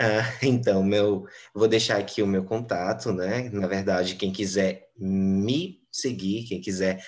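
A man's intonation stays fairly even while he talks at a very slow pace. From Brazil, Belém (Pará). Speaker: English teacher. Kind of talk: interview.

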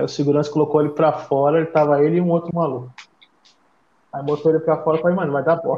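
Talking very fast, a man holds a flat, monotone delivery at a fairly high pitch. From São Paulo, Brazil (east side). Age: 30s. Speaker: hardcore band member living abroad. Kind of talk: casual chat.

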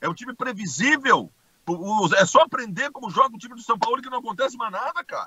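This man's pitch is extremely high, with lively intonation. He talks at a very fast pace with big swings in loudness. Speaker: sports commentator. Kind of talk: casual sports debate.

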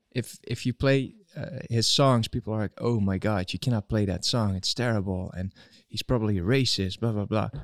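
In a plain, everyday voice, a man speaks at a fairly low pitch and moderate pace with ordinary pitch variation, in a very clean recording with a silent background and a dry, close sound with no echo. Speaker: co-host, technical helper. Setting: live stream with chat.

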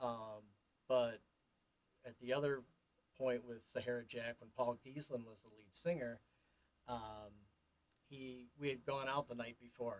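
A medium-pitched man speaks at a fairly slow pace with fairly even intonation. He leaves long, frequent pauses and his loudness swings widely. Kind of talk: casual interview chat.

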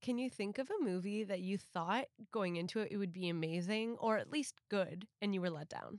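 A woman's normal speaking voice, medium in pitch with ordinary pitch variation, at a moderate pace, in a dry, close sound with no echo. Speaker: podcast host. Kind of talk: casual interview chat.

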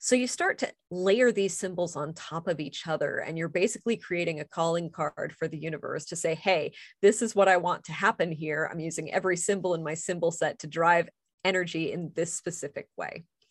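A woman with a normal speaking voice, fairly low pitch, ordinary pitch variation and a fairly quick pace, over a quiet background. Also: dry, close sound with no echo. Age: 40s. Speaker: author and pagan clergy member. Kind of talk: casual interview.

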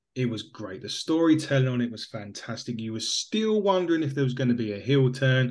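Barely pausing, a man with an English accent talks at a fairly quick pace and medium pitch with lively intonation. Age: 30s. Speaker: podcast co-host. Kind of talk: casual chat.

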